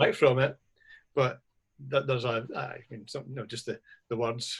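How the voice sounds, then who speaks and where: A man's medium-pitched, somewhat breathy voice at a moderate pace, with monotone, flat intonation. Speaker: writer, interviewer. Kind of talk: interview questions.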